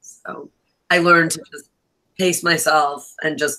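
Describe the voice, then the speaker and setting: A woman with an American accent has a bright, sharp tone. She talks fairly slowly with fairly even intonation. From New York. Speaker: author. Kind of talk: casual chat.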